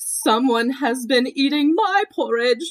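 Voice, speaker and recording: This is a put-on character voice. It moves at a fairly slow pace. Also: woman. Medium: read story.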